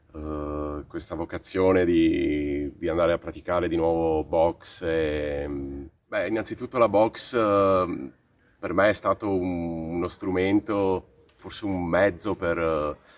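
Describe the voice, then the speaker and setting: In a very deep, low pitch, a man speaks at a very slow pace with fairly even intonation. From Croatia, moved to Italy at 13. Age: 30s. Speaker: boxing coach. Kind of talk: interview testimony. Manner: halting, many fillers.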